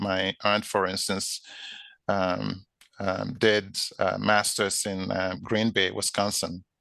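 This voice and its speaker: A man talks very slowly in a bright, sharp tone with monotone, flat intonation. The background is quiet. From Nigeria (Ijo area). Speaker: physician and health equity leader. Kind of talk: interview.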